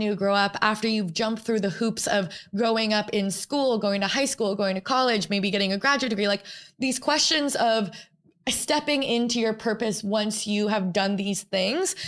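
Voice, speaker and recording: At a moderate pace, a woman speaks in an ordinary speaking voice pitched fairly high, with ordinary pitch variation and very even loudness. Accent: American. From New York. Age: 20s. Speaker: podcast host. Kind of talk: solo reflective monologue. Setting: studio. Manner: casual, filler-heavy.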